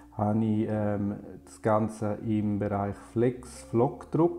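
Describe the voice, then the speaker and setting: A man with a fairly low pitch talks over faint music in the background. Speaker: graphic designer. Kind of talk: tutorial. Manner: halting with frequent filler sounds. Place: home room.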